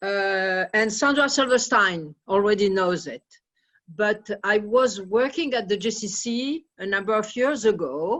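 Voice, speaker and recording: A woman with a French accent, fairly slow, at a fairly high pitch, with lively intonation. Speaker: audience member telling a story. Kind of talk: anecdote in Q&A.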